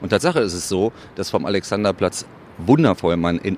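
A man talks in a very deep, low pitch. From Berlin (Köpenick). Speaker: Berlin local, city guide. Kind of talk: casual interview chat.

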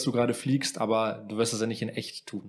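The speaker is a man with a medium pitch. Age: 20s. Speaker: podcast co-host. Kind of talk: casual chat.

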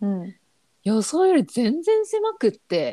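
Dry and close with no echo, a woman's dark, mellow, somewhat breathy voice moves at a fairly slow pace through very wide pitch swings. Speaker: freelance designer and muralist. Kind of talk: casual interview chat.

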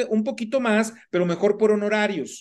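Over a quiet background, a man with a high pitch talks at a moderate pace. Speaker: podcast host, personal finance coach. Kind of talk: interview. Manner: hesitant, many fillers.

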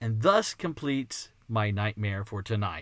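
On a very clean recording with a silent background, a man with a slight Texan accent speaks in a bright, sharp tone. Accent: American, slight Texan. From Texas. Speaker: podcast host, creationist ministry founder. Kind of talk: casual monologue. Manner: animated.

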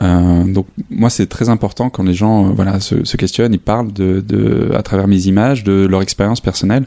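Dry and close with no echo, a man's fairly low voice moves at a moderate pace with very even loudness and fairly even intonation. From northern France, near Lille. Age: 30s. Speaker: photographer. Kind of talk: interview. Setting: artist's apartment studio. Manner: halting.

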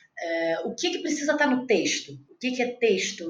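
Noticeable background noise is present. A woman speaks at a fairly quick pace. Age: 30s. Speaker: actress and playwright. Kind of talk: interview. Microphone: audio noise from technical problems.

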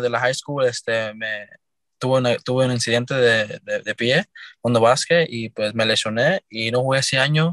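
Dry and close with no echo, a man's normal speaking voice comes at a medium pitch and a moderate pace with fairly even intonation. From New York, the Bronx. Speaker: basketball player. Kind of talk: interview.

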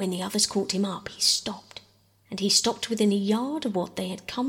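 A natural read-aloud voice with ordinary pitch variation.

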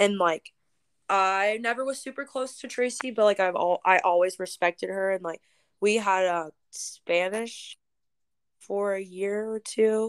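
Very clean recording, silent background, and a dry, close sound with no echo around a woman's unremarkable speaking voice, medium in pitch, fairly slow, with ordinary pitch variation. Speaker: podcast co-host. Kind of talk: casual chat.

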